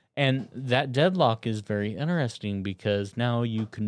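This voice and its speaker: A man with a medium-pitched, unremarkable speaking voice, lively intonation and a moderate pace. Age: 40s. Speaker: archer. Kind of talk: casual chat.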